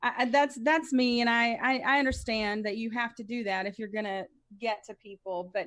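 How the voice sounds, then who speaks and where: In a very clean recording with a silent background, a woman speaks at a fairly high pitch and a moderate pace. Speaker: libertarian political commentator. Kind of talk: casual chat. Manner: loud; passionate, bombastic.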